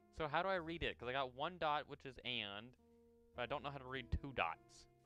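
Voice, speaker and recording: Music plays in the background. Over it, a man speaks in a medium pitch. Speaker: Vtuber streamer. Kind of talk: casual livestream talk while reading a book aloud.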